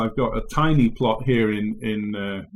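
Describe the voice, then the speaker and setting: A man with an English accent and ordinary pitch variation. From England. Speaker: agriculture professor. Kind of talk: interview. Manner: halting, many fillers.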